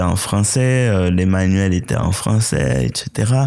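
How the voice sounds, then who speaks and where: A man with a Haitian accent speaks at a fairly slow pace. His pitch shows ordinary variation. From Haiti, rural village then Port-au-Prince. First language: Haitian Creole (speaking French). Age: young. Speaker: playwright and poet. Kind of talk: interview.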